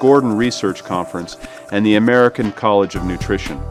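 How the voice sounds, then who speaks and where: A man's very fast speech with music in the background. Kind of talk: corporate promotional narration.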